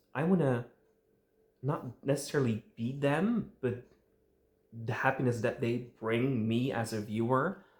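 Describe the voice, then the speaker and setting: Fairly slow, somewhat breathy speech with long, frequent pauses and ordinary pitch variation. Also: man, medium pitch for a man. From Netherlands. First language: Dutch. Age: 20s. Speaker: fan media creator. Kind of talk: vlog monologue. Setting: home recording with tripod and light. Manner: casual, some hesitation.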